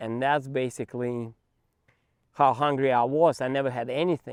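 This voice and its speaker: With a Russian accent, the voice comes through in a dry, close sound with no echo over a quiet background. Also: man. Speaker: tennis coach. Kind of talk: interview storytelling.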